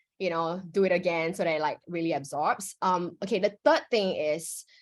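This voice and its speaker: Over a quiet background, a woman uses a normal speaking voice at medium pitch, moderate pace and ordinary pitch variation. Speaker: workshop facilitator. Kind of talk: workshop instruction. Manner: casual, filler-heavy.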